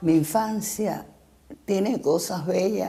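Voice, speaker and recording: Speaking in a Cuban accent, a woman uses a dark, mellow tone with vocal fry and lively intonation at a very slow pace. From Cuba, Santiago de Cuba then Havana. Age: 80s+. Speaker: former literacy campaign volunteer teacher. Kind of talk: interview testimony.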